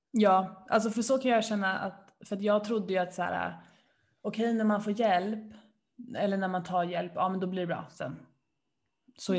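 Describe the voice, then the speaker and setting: Somewhat breathy, the voice moves at a moderate pace. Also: woman. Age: 20s. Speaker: podcast co-host. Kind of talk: casual chat. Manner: animated.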